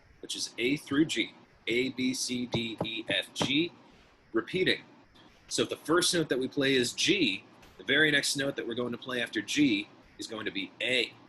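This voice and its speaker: Music plays in the background as a man talks at a moderate pace with a medium pitch and ordinary pitch variation. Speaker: music teacher. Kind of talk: tutorial.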